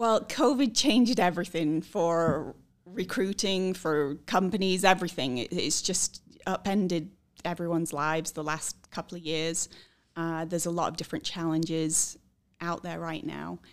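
A woman with a British accent talks at a moderate pace in a fairly low pitch, with ordinary pitch variation. The recording is very clean, with a silent background. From Scotland and England. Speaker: recruiter. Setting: office.

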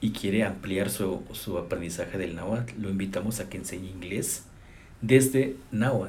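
With a Mexican accent, a somewhat breathy man talks at a moderate pace with ordinary pitch variation, and room echo is audible. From Chicontepec, Veracruz, Mexico. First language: Nahuatl (speaking Spanish). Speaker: language professor. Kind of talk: interview. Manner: halting, with fillers.

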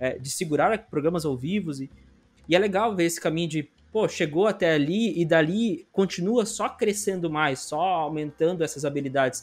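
A man's high-pitched voice with ordinary pitch variation, very cleanly recorded against a silent background. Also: moderate pace. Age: 20s. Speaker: podcast host. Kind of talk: casual interview chat.

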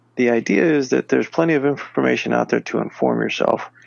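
A man's fairly quick speech comes through with noticeable noise behind it. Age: 40s. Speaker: podcast co-host. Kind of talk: casual chat.

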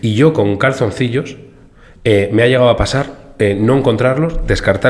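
A man speaks at a fairly quick pace. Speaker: podcast co-host. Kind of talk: casual chat. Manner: animated.

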